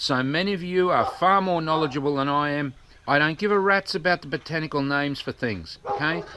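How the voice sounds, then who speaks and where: A man speaks fairly quickly with an Australian accent and a bright, sharp tone. His pitch varies in an ordinary way. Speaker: activist vlogger. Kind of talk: vlog rant. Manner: fast.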